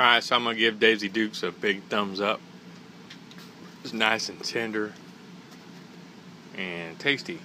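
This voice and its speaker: Light background noise sits behind a man speaking at a moderate pace and a fairly low pitch with fairly even intonation. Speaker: food vlogger. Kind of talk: casual vlog chat. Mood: relaxed, pleased. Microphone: phone near.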